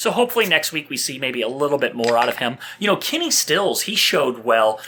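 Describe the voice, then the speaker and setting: The pace is very fast. Noticeable background noise can be heard. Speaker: fantasy football podcast host. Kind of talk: casual sports chat.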